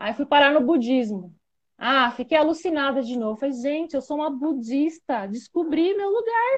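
Her voice is high in pitch, and this woman's speech has very wide pitch swings. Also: moderate pace. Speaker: spirituality content creator. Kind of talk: live stream interview. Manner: casual, informal.

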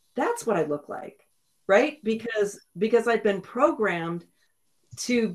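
A woman speaks with lively intonation. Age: 60s. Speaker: podcast co-host and counselor. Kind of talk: casual chat.

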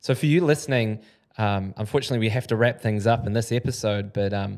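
A man speaks with a New Zealand accent at medium pitch and ordinary pitch variation. The recording is very clean with a silent background. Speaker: podcast host. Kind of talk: casual interview conversation. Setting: studio.

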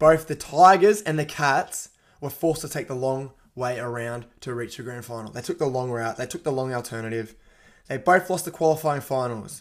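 Animated in tone, a man with an Australian accent speaks at a moderate pace in a medium pitch with ordinary pitch variation on a very clean recording with a silent background. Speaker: sports podcast host. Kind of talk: casual sports talk.

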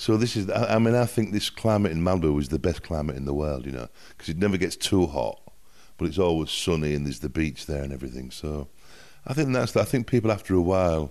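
Very deep and low, a man's voice in a Yorkshire accent races at a very fast pace with lively intonation over a quiet background. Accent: northern English (Yorkshire). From northern England, Hull (Yorkshire). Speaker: music producer. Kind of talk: casual interview chat. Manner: halting, with many fillers.

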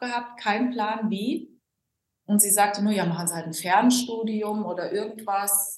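A somewhat breathy woman at a fairly slow pace, with audible room echo. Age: 40s. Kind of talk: podcast interview. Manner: animated.

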